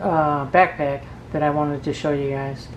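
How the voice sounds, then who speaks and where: A woman talks at a moderate pace. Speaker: product reviewer. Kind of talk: product review tutorial. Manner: casual, hesitant with fillers.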